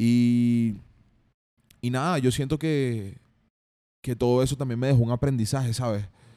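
In a very clean recording with a silent background, a dark, mellow voice with a Venezuelan accent moves at a fairly slow pace, with fairly even intonation and long, frequent pauses. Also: man, medium pitch for a man. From Venezuela, Carabobo. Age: 20s. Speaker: rapper and songwriter. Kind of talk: casual interview. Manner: relaxed, chill.

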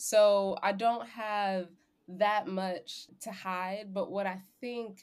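A woman's very slow delivery with fairly even intonation. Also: medium pitch for a woman, very clean recording, silent background. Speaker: guest on corporate work panel. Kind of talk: casual conversational podcast chat.

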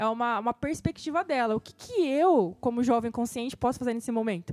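At a moderate pace, a woman speaks at a high pitch in a dry, close sound with no echo. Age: 20s. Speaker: podcast co-host. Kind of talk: casual chat.

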